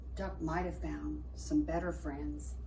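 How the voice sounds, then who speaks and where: A woman puts on a character voice. She speaks at a fairly slow pace over clear background noise. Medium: read story.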